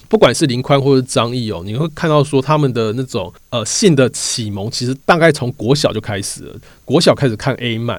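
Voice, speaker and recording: A man with an ordinary speaking voice at medium pitch talks at a fairly quick pace with lively intonation on a very clean recording with a silent background. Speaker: podcast host and magazine reporter. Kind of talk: narrated storytelling podcast. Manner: frequent filler words.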